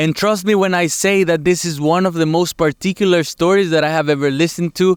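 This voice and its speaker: Over noticeable background noise, the voice moves at a fairly quick pace with fairly even intonation in a dry, close sound with no echo. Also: man, high pitch for a man, very even loudness. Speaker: interviewer, channel host. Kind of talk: video intro to camera.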